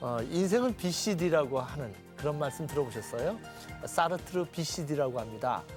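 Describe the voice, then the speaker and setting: Music plays behind a man speaking at a fairly slow pace. His fairly high pitch swings very widely. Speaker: TV talk show host, professor. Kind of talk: TV talk show host opening and questions.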